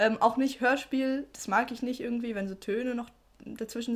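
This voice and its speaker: Her high-pitched voice moves at a moderate pace with fairly even intonation. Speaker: podcast co-host. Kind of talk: casual chat.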